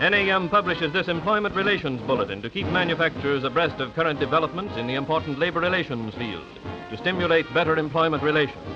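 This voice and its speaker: A man's fairly high, lively voice at a very fast pace, with music in the background. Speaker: narrator. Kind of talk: 1930s promotional film narration.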